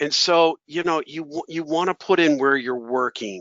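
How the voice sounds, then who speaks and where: With lively intonation and a fairly slow pace, a man talks in a plain, everyday voice. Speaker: professional association president. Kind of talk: webinar talk. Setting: webinar.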